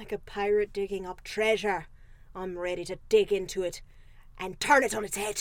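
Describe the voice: A put-on character voice that sounds female. The pitch sits in the medium range for a woman. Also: moderate pace.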